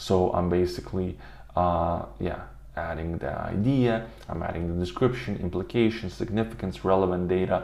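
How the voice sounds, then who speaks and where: A man with a non-native accent and a very deep, low pitch speaks at a moderate pace with ordinary pitch variation, with audible room echo around him. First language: not English. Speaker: automation tutorial youtuber. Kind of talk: tutorial. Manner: halting, many fillers.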